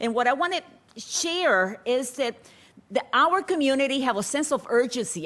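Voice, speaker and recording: In a high pitch, a woman speaks with very wide pitch swings. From Puerto Rico. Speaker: public health researcher. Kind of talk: conference presentation. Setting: conference forum webcast. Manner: fast.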